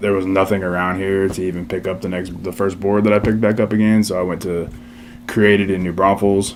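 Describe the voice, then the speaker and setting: With audible room echo and noticeable background noise, a man speaks at a fairly quick pace with a very deep, low pitch and fairly even intonation. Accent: Texan. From Texas, Seguin. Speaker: skate shop co-owner, military veteran. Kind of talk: interview. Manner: hesitant, many fillers.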